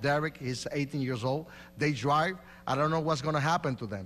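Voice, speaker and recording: A man's fairly high-pitched voice with an animated tone. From Puerto Rico. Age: 40s. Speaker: mayoral candidate. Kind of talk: political debate. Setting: stage with audience.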